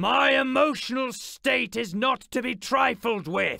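A put-on character voice comes out raspy. It moves at a fairly slow pace. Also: man, extremely high pitch for a man. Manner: scornful, intimidating.

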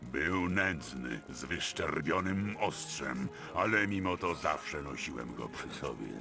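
Clear background noise runs beneath a man who puts on a character voice and talks at a fairly slow pace. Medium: video game. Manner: gruff, curt.

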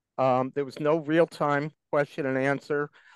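The man talks at a moderate pace with monotone, flat intonation in a dry sound with no echo and a quiet background. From Florida Keys; Florida. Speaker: concerned citizen. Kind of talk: public comment. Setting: video call. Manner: formal. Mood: critical, probing. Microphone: video call.

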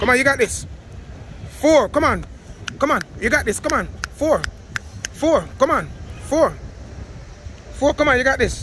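With very even loudness and a dry sound with no echo, a man speaks at a moderate pace with long, frequent pauses over light background noise. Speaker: workout coach. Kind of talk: motivational coaching and counting reps. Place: street.

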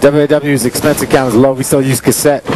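Over noticeable background noise, a man speaks at a fairly high pitch in a monotone, flat way. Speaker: wrestling commentator. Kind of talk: wrestling commentary, bantering with co-commentator. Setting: commentary over a live match.

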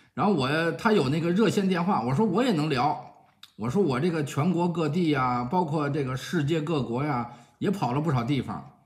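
Against a quiet background, a somewhat breathy man talks with lively intonation. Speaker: vlogger telling a personal story. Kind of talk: casual vlog chat. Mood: cheerful, self-mocking. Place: home room. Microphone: phone near.

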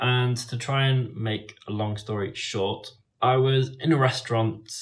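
A man's somewhat breathy voice at a very slow pace, with fairly even intonation. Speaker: travel vlogger. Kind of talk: casual vlog chat. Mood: calm, slightly rueful. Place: home room. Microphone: phone near.

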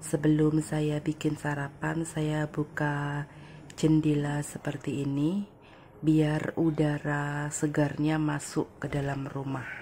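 Her very deep, low voice comes out somewhat breathy. The woman speaks very slowly, in a monotone, flat intonation. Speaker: domestic worker vlogger. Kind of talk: casual vlog, cooking. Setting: home kitchen.

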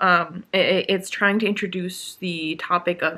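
Her tone is bright and sharp. The woman talks at a fairly slow pace.

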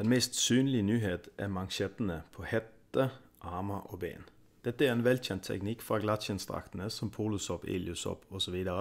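A plain, everyday voice from a man, fairly low-pitched and fairly slow, with ordinary pitch variation over a very clean, silent background. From Denmark, Kalundborg. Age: 30s. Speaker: freediver and product reviewer. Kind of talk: product review.

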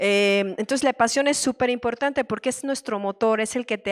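A woman speaks in an ordinary speaking voice, fairly high in pitch. Her intonation stays fairly even over a quiet background. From Querétaro, Mexico; Mexico. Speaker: tech marketing manager; panelist. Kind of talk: panel discussion at a conference. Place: hall.

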